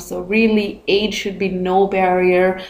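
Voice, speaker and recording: Her medium pitch carries at a fairly slow pace as the woman speaks. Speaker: video blogger. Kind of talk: casual talk to camera.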